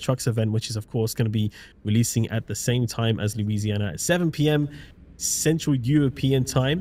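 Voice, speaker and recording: With a British accent, a man speaks at a medium pitch and a fairly quick pace, using ordinary pitch variation. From Britain. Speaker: live stream host. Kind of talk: live stream interview.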